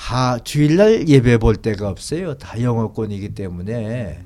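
Very slowly, a man speaks with ordinary pitch variation. His tone is dark and mellow. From North Korea (Gangwon, Tongcheon). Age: 80s+. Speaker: pastor and theologian. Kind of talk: interview, life story.

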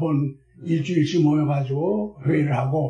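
Over background music, a man's fairly high voice rises and falls in an ordinary way. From Seoul, South Korea. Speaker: retired pastor. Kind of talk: interview. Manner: halting.

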